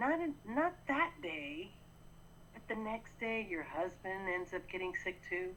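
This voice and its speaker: A woman speaks at a fairly slow pace in an ordinary speaking voice. Her pitch is medium and her intonation is lively. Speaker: podcast co-host. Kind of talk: casual chat.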